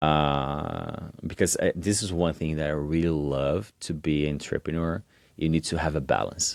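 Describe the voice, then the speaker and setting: A man speaks at a moderate pace with a very deep, low pitch and fairly even intonation. The recording is very clean, the background silent. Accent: Portuguese. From Brazil. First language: Portuguese. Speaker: entrepreneur. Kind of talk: podcast interview. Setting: university lounge, in person. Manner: halting.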